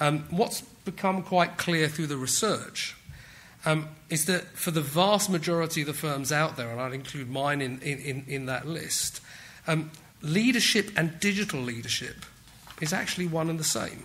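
Here a man talks with a British accent at a moderate pace. His pitch is fairly high, with ordinary pitch variation. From England. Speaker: technology executive. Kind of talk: conference talk. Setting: stage with audience. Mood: light, self-deprecating humour. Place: hall. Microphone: podium.

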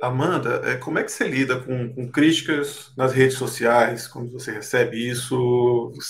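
The speaker talks at a fairly slow pace with fairly even intonation and big swings in loudness, over light background noise. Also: man. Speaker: sports journalist. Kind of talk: casual interview. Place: home room.

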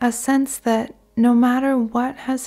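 A woman speaks at a very slow pace in a soothing, calm tone with monotone, flat intonation. Music plays in the background. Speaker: guided meditation narrator. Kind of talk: guided meditation / sleep meditation. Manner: slow, soothing, calm.

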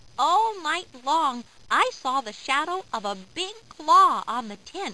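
A woman's put-on character voice, high and bright with a sharp tone, big pitch swings and a slow pace.

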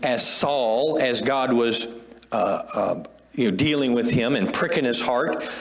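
A man talks at a very slow pace. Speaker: pastor. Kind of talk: sermon. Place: church. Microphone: lapel.

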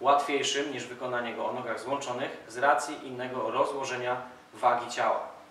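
Flat, monotone delivery from a man at a fairly quick pace, with audible room echo and light background noise. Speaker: calisthenics coach. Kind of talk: tutorial. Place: gym.

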